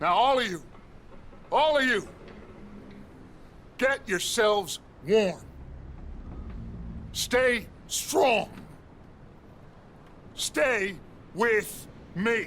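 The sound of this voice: Using a put-on character voice, a man speaks at a high pitch with a fairly bright tone and lively intonation, at a very slow pace with long, frequent pauses.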